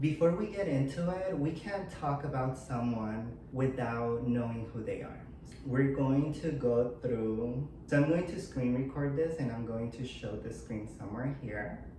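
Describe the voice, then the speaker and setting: The speech moves at a fairly slow pace with hardly any pauses. Noticeable background noise sits behind it. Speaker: YouTuber. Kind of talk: casual commentary vlog.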